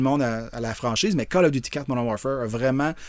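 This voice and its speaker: A man talks at a very fast pace. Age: 50s. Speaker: video game designer. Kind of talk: interview.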